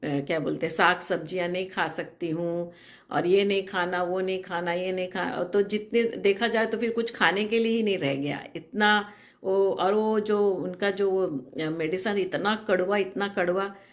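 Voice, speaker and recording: A woman at medium pitch with fairly even intonation. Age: 60s. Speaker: nurse giving a treatment testimonial. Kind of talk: testimony. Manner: halting, many filler sounds.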